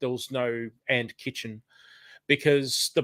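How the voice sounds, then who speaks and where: At a very slow pace, a man of medium pitch speaks with fairly even intonation. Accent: Australian. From Australia. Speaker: retired chef and cooking and gardening channel creator. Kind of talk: casual chat. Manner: hesitant, many fillers.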